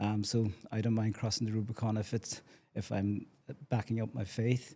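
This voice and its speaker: The man's voice is somewhat breathy, and his intonation stays monotone and flat. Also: fairly low pitch for a man, moderate pace. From Ireland, County Cork. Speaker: community development officer. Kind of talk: casual chat. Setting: on location at a community complex.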